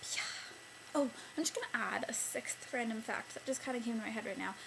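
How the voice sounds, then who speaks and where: Noticeable background noise behind a woman with a fairly high pitch and ordinary pitch variation. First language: Italian. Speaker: beauty vlogger. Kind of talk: casual vlog monologue. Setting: bedroom at night. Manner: chatty, filler-heavy.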